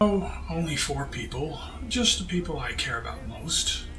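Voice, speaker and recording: A man puts on a character voice at a moderate pace. Loud background noise runs underneath. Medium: machinima.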